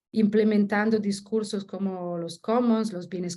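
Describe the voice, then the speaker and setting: A dark, mellow, somewhat breathy voice in an Italian accent, monotone and flat, at a fairly slow pace. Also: woman. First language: Italian (speaking Spanish). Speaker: researcher. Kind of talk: academic presentation. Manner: halting, many self-corrections.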